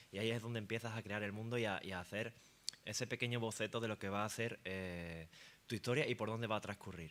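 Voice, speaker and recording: A man's fairly low voice at a very fast pace with fairly even intonation, in a very clean recording with a silent background. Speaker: fantasy author on a panel. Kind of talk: panel discussion. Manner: hesitant, with fillers.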